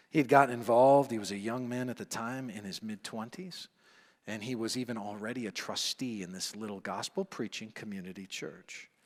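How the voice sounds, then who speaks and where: A man speaks at a fairly quick pace with ordinary pitch variation and big swings in loudness, in an unremarkable speaking voice. The recording is very clean, with a silent background. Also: medium pitch for a man. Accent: American. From upstate New York, US. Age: 40s. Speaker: men's ministry teacher. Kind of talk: teaching talk with personal testimony.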